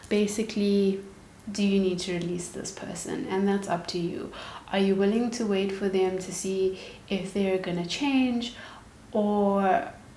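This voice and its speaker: A woman speaks at a fairly slow pace. Audible room echo and noticeable background noise surround her voice. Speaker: tarot reader. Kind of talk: tarot reading to camera.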